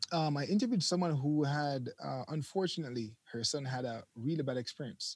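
A man with a fairly high pitch talks at a fairly quick pace, somewhat breathy. He leaves hardly any pauses and uses ordinary pitch variation. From Jamaica. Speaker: YouTube content creator. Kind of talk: casual interview. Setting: remote call from overseas.

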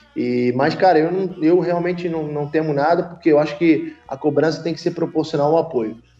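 Moderate pace and fairly even intonation, with hardly any pauses and noticeable background noise. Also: man, fairly high pitch for a man. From Brazil, Rio de Janeiro. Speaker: football club president. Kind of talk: podcast interview. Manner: halting, many fillers and repetitions.

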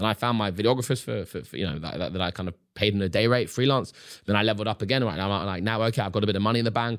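A fairly low-pitched man with a London accent, in a very clean recording with a silent background. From London, England. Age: 20s. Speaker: social media creator and magician. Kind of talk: casual interview.

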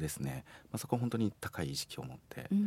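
This voice has vocal fry and moves at a moderate pace. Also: man. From Beppu, Ōita, Kyushu. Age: 40s. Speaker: care facility staff, former musician and comedian. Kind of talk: casual interview.

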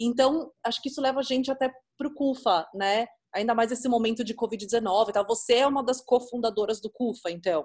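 Pitched fairly high, a woman speaks at a moderate pace with ordinary pitch variation. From São Paulo, Brazil. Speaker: podcast host, photographer. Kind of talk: interview.

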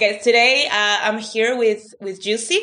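With a Spanish accent, a woman speaks in a bright, sharp tone and fairly even intonation. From Peru. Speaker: podcast host and master's student. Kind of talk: interview; scripted intro.

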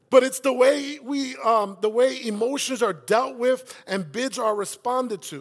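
A man with a New York accent speaks in an extremely high pitch at a moderate pace, his animated delivery showing big swings in loudness and ordinary pitch variation with hardly any pauses. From South Bronx, New York City. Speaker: campus pastor. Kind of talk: sermon. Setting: church.

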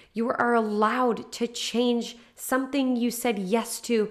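A woman speaks in a warm, upbeat tone at a fairly high pitch. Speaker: podcast host, solo episode. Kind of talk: pep talk. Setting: solo podcast recording. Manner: warm, encouraging, upbeat; animated, emphatic, direct address.

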